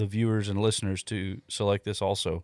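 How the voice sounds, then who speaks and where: A man talks at a fairly quick pace in a fairly low, monotone, flat voice. The recording is dry and close with no echo. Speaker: car podcast co-host. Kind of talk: casual banter, joking along with the infomercial bit. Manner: playful, jokey.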